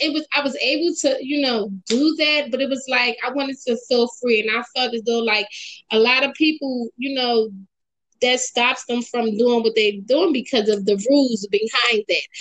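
Here a woman speaks with an American accent at a moderate pace. Her pitch is high, with ordinary pitch variation. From Philadelphia, Pennsylvania. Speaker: poet and writer. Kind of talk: interview.

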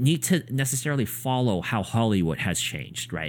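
Speaking at a fairly slow pace, a man with a medium pitch and vocal fry makes very wide pitch swings. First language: neither English nor Korean. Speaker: podcast co-host. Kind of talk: casual chat.

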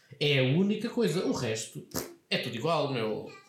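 A man's speech carries audible room echo over noticeable background noise. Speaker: podcast co-host. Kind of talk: casual chat.

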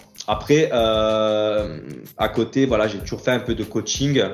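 With a plain, everyday voice, a man of fairly low pitch talks with fairly even intonation. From Corsica, Ajaccio. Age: 30s. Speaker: bodybuilder and fitness coach. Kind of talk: casual interview.

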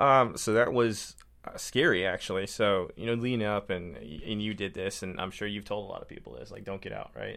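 A fairly low-pitched man with an American accent speaks at a moderate pace in an unremarkable speaking voice, with ordinary pitch variation. His loudness swings widely, and he barely pauses. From Minnesota. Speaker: veteran, hockey program organizer. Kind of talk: casual radio interview. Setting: radio studio.

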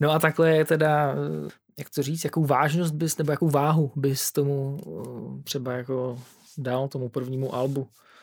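A man speaks in a fairly high voice with monotone, flat intonation. The recording is very clean, with a silent background. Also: moderate pace. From Czechia, Hradec Králové. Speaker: podcast host. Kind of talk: casual chat.

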